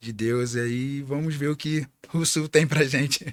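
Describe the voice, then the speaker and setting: This man's voice is pitched fairly high. He talks very slowly. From Rio de Janeiro, Brazil. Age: 20s. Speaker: podcast co-host, air force serviceman. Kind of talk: casual podcast chat.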